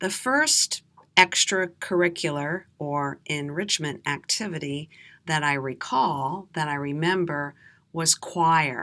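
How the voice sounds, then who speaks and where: A woman with an American accent, very deep and low in pitch yet bright and sharp in tone, very slow, with ordinary pitch variation, on a very clean recording with a silent background. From USA. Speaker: English teacher. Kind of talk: slow storytelling for learners. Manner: clear, deliberate.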